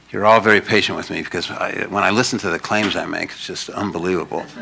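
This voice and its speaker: Noticeable background noise sits under this recording. A man with a fairly low pitch talks at a very fast pace. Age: 60s. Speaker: lecturer on numerical mathematics. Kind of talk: public lecture. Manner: fast, spewing it out.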